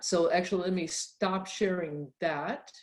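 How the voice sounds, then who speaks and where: Her voice is fairly low in pitch, a woman speaking with an American accent. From US Northeast. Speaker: professor. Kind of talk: online faculty workshop presentation. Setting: video call. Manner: animated.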